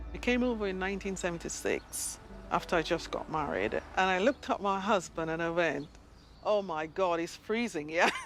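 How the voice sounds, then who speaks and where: Noticeable background noise sits behind a woman speaking fairly quickly. Her pitch is medium, with ordinary pitch variation. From Jamaica. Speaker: amateur gardener. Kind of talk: documentary interview.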